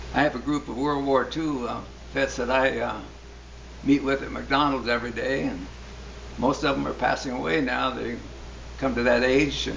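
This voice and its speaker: There is noticeable background noise and audible room echo around this man's voice. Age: 80s+. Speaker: church member. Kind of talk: testimony. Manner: halting.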